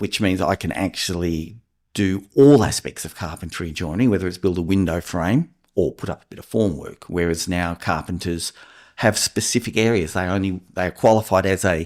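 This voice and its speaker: On a very clean recording with a silent background, a man with a very deep, low pitch speaks at a fairly quick pace with big swings in loudness. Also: ordinary pitch variation. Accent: Australian. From Australia, New South Wales (Port Stephens). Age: 60s. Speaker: builder and house inspector. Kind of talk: podcast interview.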